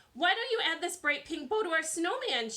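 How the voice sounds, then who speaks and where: In a put-on character voice, a woman speaks at an extremely high pitch, squeaky and raised to project. She talks at a fairly quick pace with very wide pitch swings. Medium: read story. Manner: chirpy, syrupy.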